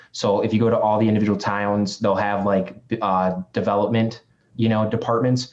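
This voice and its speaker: A man's fairly low, monotone voice with flat intonation at a fairly quick pace. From Chicago. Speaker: real estate agent and investor. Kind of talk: podcast interview. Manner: fast.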